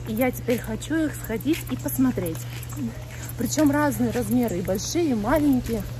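Faint music plays in the background as the speaker keeps a moderate pace. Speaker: vlogger. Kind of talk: casual vlog chat. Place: street. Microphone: phone near.

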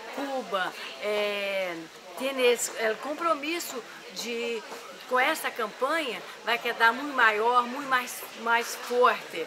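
Through noticeable background noise, a woman speaks in a high pitch at a very slow pace. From Brazil. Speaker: activist. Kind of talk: interview statement. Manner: halting. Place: home room.

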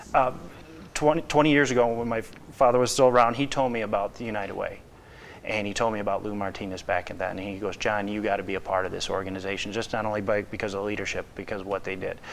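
Light background noise accompanies a man with an American accent who talks at a very fast pace and a fairly low pitch. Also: ordinary pitch variation. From Lake County, Northwest Indiana; Indiana. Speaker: business development director; talk show guest. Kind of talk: interview. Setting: studio. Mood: earnest, warm. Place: studio. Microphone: lapel.

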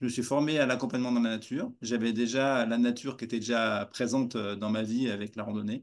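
Over a quiet background, a man talks with monotone, flat intonation. He leaves hardly any pauses. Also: fairly quick pace. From France. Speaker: walking coach; nature coach, interview guest. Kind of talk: interview; interview answer. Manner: halting. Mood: warm, smiling. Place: home room. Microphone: video call.

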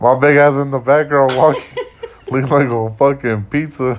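The man has an unremarkable speaking voice, fairly high in pitch, with fairly even intonation at a moderate pace. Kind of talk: casual voiceover commentary. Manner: joking, profane.

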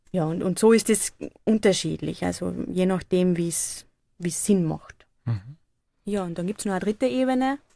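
At a moderate pace, a woman speaks at a medium pitch in a dark, mellow tone with lively intonation. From Austria, Carinthia (upper Drau valley). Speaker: photography project leader at a nonprofit. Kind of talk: radio interview. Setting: studio.

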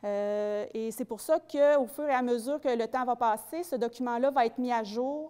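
A woman's high-pitched voice with a dark, mellow tone, at a moderate pace over a quiet background. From Quebec. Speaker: community development officer; presenter. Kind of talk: public presentation. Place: hall. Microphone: handheld.

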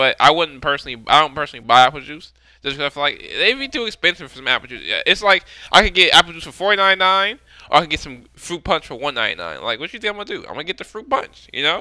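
A man talks at a very fast pace in a high voice for a man, his pitch swinging very widely, with a dry sound and no echo. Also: quiet background. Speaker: music reaction streamer. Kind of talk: casual vlog chat. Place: home room. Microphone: headset.

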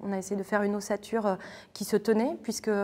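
A woman is heard here. Her pace runs fairly quick. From northern France, near Lille; northern France. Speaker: theatre artist. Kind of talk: interview. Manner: hesitant, many filler sounds. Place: hall.

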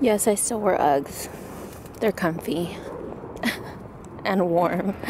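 A woman speaking very slowly with ordinary pitch variation, dry sound with no echo, noticeable background noise. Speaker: vlogger and online reseller; reseller vlogger. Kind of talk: casual vlog. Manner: casual, filler-heavy.

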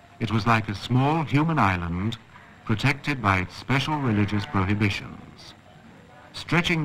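With a normal speaking voice, a man speaks at a moderate pace in a fairly low pitch. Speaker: documentary narrator. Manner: formal; measured, even-paced.

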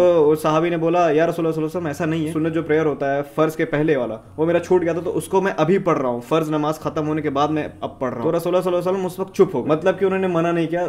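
A man talks at a very fast pace. His pitch is fairly high and his intonation fairly even. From eastern Uttar Pradesh, India. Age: 20s. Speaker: vlogger, master's student. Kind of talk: religious explanation to camera. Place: home room. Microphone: phone near.

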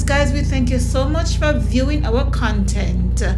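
Over music in the background, a woman speaks at a fairly slow pace. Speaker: vlogger. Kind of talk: casual vlog chat. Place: car.

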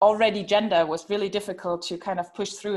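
The background stays quiet. The woman's intonation is fairly even. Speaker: panel moderator. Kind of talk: online panel discussion. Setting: video call.

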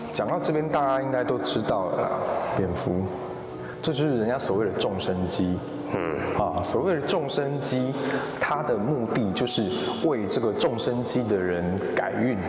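A man at a moderate pace with long, frequent pauses, amid noticeable background noise and audible room echo. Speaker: adventure video host. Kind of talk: explanatory commentary to camera. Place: hall.

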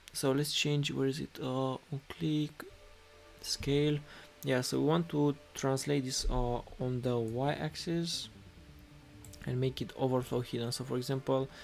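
A man with a Romanian accent at a medium pitch, fairly slow and fairly even in intonation, over music in the background. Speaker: web developer, coding teacher. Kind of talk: live-stream coding tutorial. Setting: live stream with chat. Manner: halting, many fillers.

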